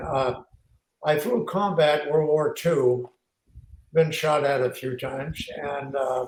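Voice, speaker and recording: A man speaks at a very slow pace with fairly even intonation. His voice is somewhat breathy. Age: 80s+. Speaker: war veteran. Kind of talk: interview.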